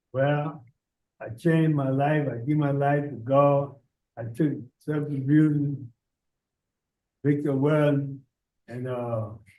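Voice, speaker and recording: A man speaks very slowly at a fairly high pitch, with long, frequent pauses. His intonation is monotone and flat, and there is audible room echo. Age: 60s. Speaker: pardon applicant, inmate. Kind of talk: hearing testimony.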